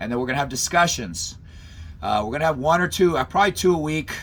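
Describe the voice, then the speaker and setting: A man talks at a very fast pace. His tone is energetic. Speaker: college professor and self-defense instructor. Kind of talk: online class lecture. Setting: video call. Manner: fast, energetic; casual, halting with repetitions.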